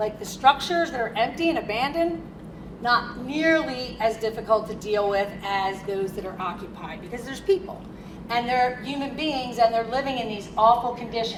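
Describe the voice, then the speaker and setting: A woman with an American accent speaks in an animated tone at a fairly high pitch, her loudness swinging widely, with audible room echo and noticeable background noise. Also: lively intonation, moderate pace. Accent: Philadelphia accent, stronger when excited. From Philadelphia. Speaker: consultant and attorney, keynote speaker. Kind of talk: keynote speech.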